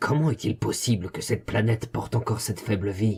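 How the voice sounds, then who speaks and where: A man puts on a raspy character voice at medium pitch, talking at a fairly quick pace. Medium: machinima. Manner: quick, tense, skeptical.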